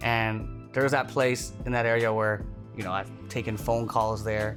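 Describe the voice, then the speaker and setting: Ordinary pitch variation from a man, with music in the background. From Toronto, Canada. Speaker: stand-up comedian. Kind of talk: casual interview answer. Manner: fast, energetic, comedic.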